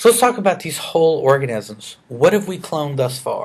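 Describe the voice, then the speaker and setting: A man talks at a fairly slow pace in a Southern US accent. His voice sits high for a man and swings very widely in pitch. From US South, rural Arkansas. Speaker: biology educator. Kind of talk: lecture. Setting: screencast recording. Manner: hesitant, many fillers.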